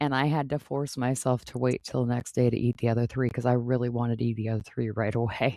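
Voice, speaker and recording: Very fast and with hardly any pauses, a woman speaks at a very deep, low pitch in a dark, mellow tone, her intonation monotone and flat, the sound dry and close with no echo. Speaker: podcast host. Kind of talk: podcast conversation.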